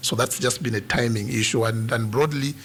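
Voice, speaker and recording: With noticeable noise behind him, a man talks in a medium-pitched voice whose intonation stays fairly even. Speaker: comedian. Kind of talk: radio interview answer. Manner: conversational, explanatory.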